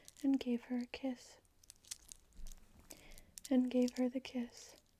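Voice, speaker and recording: The speaker is soft-spoken. The pace is very slow. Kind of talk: storybook reading.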